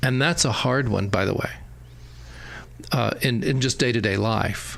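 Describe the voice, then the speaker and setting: A man's voice, medium in pitch, its variation ordinary. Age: 60s. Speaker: opera company general director hosting interview. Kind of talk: casual interview chat. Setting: sit-down talk.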